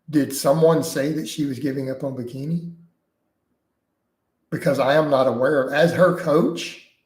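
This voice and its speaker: A somewhat breathy man with a fairly high pitch talks at a moderate pace, leaving long, frequent pauses. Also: fairly even intonation. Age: 40s. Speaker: fitness coach and YouTuber. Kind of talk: live stream chat Q&A. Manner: casual, conversational.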